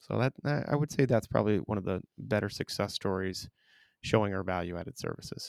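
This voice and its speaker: A man with a fairly low pitch, vocal fry and ordinary pitch variation talks at a fairly quick pace. The recording is very clean with a silent background, and the sound is dry and close with no echo. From Vermont, South Burlington. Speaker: insurance sales executive. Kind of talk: podcast interview.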